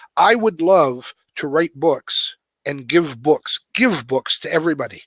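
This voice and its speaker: A man's high-pitched voice moves with lively intonation at a fairly slow pace, the sound dry and close with no echo. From Canada. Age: 60s. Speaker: author and web coach. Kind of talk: interview conversation.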